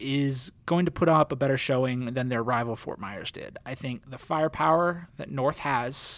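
In a very clean recording with a silent background, a man with an unremarkable speaking voice talks at a moderate pace with lively intonation. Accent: American. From New Jersey. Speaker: sports journalist and podcast co-host. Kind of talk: casual sports podcast chat.

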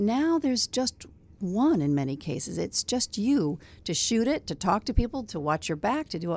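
In a very clean recording with a silent background, a woman with an American accent speaks at a medium pitch, her voice making very wide pitch swings. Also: moderate pace. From US Midwest, South Bend, Indiana. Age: 60s. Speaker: veteran TV news anchor. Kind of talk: casual interview chat. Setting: radio studio.

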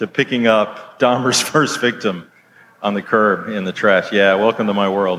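A man speaks in an unremarkable speaking voice at medium pitch with an American accent. His intonation stays fairly even and his pace fairly slow. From Ohio, US. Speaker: cartoonist and author. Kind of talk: live interview on stage. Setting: outdoor stage with audience.

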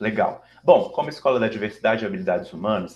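Lively intonation marks this man speaking with a Minas Gerais accent. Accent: mineiro (Minas Gerais). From Brazil, Minas Gerais (Belo Horizonte). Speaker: diversity consultancy founder and CEO. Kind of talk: interview.

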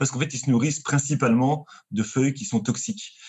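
A man talks at a very fast pace. His voice is medium in pitch and somewhat breathy. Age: 30s. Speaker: marine biologist. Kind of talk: casual chat.

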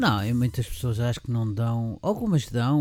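A man with a dark, mellow tone speaks at medium pitch and a moderate pace. The recording is very clean, with a silent background. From Portugal, Lisbon. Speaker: event organiser. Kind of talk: interview. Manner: halting.

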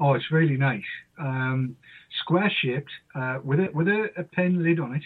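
A man with a northern English accent at a moderate pace, with ordinary pitch variation. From northern England. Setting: phone call.

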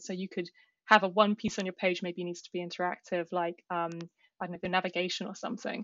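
With a British accent, a woman talks fairly quickly at a medium pitch with fairly even intonation. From UK. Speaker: software engineer. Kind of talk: casual chat.

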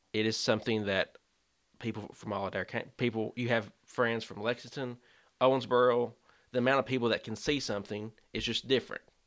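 With a Kentucky accent, a man speaks at a fairly quick pace in a medium pitch. Long pauses come often. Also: very clean recording, silent background. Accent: Kentucky Southern American. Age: 20s. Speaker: youth minister. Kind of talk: casual chat.

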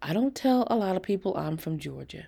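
A woman does a put-on character voice, fairly quick, fairly low in pitch with lively intonation. Her tone is dark and mellow with vocal fry and a slightly husky edge, in a very clean recording with a silent background.

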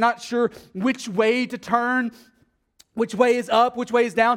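A man speaks with a Texas accent. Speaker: pastor. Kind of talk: sermon. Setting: church.

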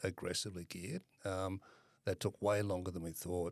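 In a very clean recording with a silent background, a man with an Australian accent talks at a moderate pace in a very deep, low pitch and a flat monotone. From Western Australia (Perth). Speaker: property fund manager. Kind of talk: interview.

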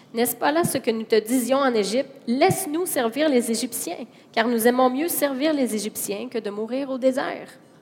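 Noticeable background noise surrounds a woman with a high pitch. Her pitch variation is ordinary. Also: moderate pace. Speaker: interpreter. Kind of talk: consecutive interpreting of a sermon. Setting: church with congregation. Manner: animated, fervent, preacher-like delivery, rising and emphatic when echoing the sermon.

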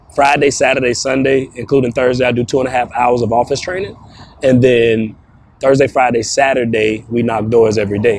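With a normal speaking voice at a medium pitch, a man talks at a fairly quick pace with fairly even intonation. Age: 30s. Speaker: roofing sales trainer. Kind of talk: interview. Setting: outdoors.

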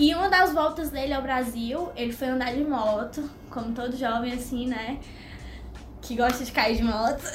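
Noticeable background noise and audible room echo surround a woman's high-pitched voice. She talks at a moderate pace with ordinary pitch variation. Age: 20s. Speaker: law student and youth ministry leader. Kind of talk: testimony.

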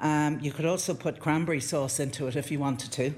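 The man's voice is somewhat breathy and fairly high in pitch. His intonation stays fairly even. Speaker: home cook. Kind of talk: cooking demonstration. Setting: kitchen.

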